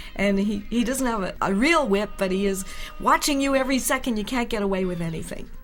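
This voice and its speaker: Enthusiastic and fairly quick, a woman speaks in a fairly high pitch with lively intonation while music plays in the background. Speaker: voice actor. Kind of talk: commentary track. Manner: lively, enthusiastic.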